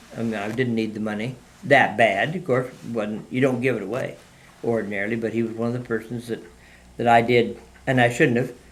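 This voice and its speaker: A man with an American accent speaks at a fairly quick pace and medium pitch, with fairly even intonation and audible room echo. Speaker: retired mail carrier. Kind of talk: oral history interview. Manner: halting, many fillers.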